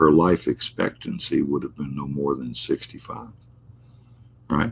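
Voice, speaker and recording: Very deep and low, a man's voice moves at a fairly slow pace with vocal fry. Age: 70s. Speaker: astrologer hosting a live stream. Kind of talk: casual live-stream chat. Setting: live stream reading viewer chat. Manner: halting, many repetitions and fillers.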